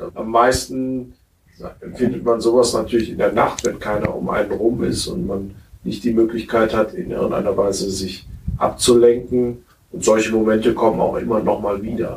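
Moderate pace with ordinary pitch variation. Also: man, medium pitch for a man. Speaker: physician. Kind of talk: interview. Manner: hesitant.

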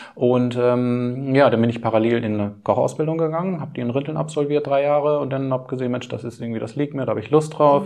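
The speech comes at a very fast pace with hardly any pauses. Noticeable background noise runs underneath. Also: man, medium pitch for a man, ordinary pitch variation. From Lower Saxony, Schaumburg region. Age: 40s. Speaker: caterer and butcher running a family business. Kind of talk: interview.

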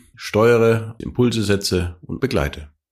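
A man with a plain, everyday voice speaks at a fairly low pitch with ordinary pitch variation on a very clean recording with a silent background. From Franconia, Germany (Nuremberg). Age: 50s. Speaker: corporate podcast co-host. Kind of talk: casual chat. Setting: company office.

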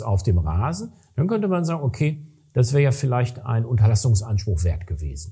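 Somewhat breathy and dark, mellow in tone, a man speaks at a medium pitch and a moderate pace with very wide pitch swings. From western Germany, Ruhr area (Recklinghausen). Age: middle-aged. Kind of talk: casual interview. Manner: hesitant with fillers.

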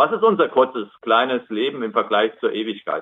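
A man with a normal speaking voice talks at a moderate pace, his fairly high pitch moving in lively intonation. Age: 60s. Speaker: lay preacher. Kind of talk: sermon. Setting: video call.

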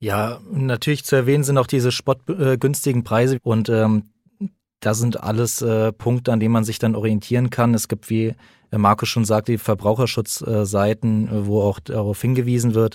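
A man speaks at a medium pitch and moderate pace with fairly even intonation, in an unremarkable speaking voice. The sound is dry and close with no echo, on a very clean recording with a silent background. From Frankfurt, Germany. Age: 20s. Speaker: police detective. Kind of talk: interview.

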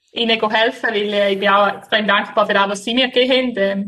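A woman with a St. Gallen accent, at a fairly high pitch and a moderate pace. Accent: St. Gallen Swiss German dialect. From Switzerland, St. Gallen. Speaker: floorball player. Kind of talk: interview. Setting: remote call from Sweden. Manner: hesitant, many fillers.

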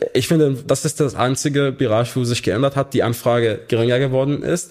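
A man speaks with an Arabic accent at a moderate pace. His pitch is medium. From Syria, Hama. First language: Arabic (speaking German). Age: 20s. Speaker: refugee aid volunteer coordinator. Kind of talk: interview. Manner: halting.

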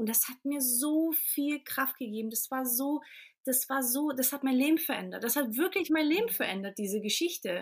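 A woman talks at a moderate pace in a high pitch with lively intonation. The recording is very clean, with a silent background. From Portugal, near Lisbon, then Germany from age 4. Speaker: coach, women's circle leader. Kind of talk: podcast interview.

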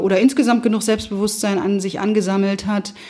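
A woman's medium-pitched, monotone, flat delivery at a very fast pace, with music in the background. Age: 50s. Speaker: managing director. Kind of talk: interview.

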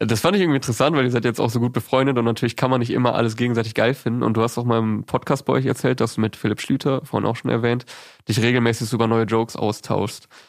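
A man speaks very fast at medium pitch. His intonation is fairly even and his loudness very even. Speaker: podcast interviewer. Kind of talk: interview. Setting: comedy club room.

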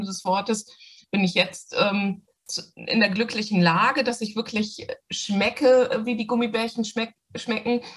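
A woman speaks fairly slowly in a fairly high, somewhat breathy voice with ordinary pitch variation. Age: 50s. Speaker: doctor and coaching client. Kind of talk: interview testimony.

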